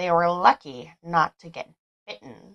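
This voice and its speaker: A female-sounding voice does a gruff put-on character voice, fairly low in pitch and fairly slow. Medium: read story. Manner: gruff, grunting.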